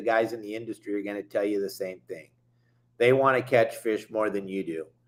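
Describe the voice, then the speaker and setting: With an American accent, a man talks at a medium pitch and a fairly quick pace. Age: 60s. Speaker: fishing boat captain and show host. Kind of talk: fishing show monologue. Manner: animated.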